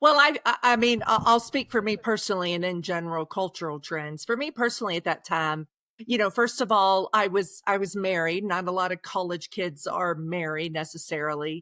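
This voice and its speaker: A woman with a slight Oklahoma accent talks at a fairly quick pace with hardly any pauses, her tone bright and sharp and her intonation lively, on a very clean recording with a silent background and a dry, close sound with no echo. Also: medium pitch for a woman. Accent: slight Oklahoma twang. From Oklahoma, Osage County. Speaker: author. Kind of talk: podcast interview. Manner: halting, repeats words.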